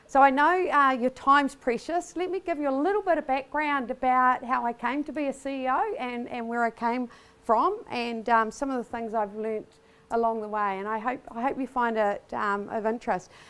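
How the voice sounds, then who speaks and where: Over a very clean recording with a silent background, a woman with a New Zealand accent speaks at a high pitch with lively intonation. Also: moderate pace. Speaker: business executive. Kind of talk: conference keynote speech. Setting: stage before large audience. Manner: casual, many fillers.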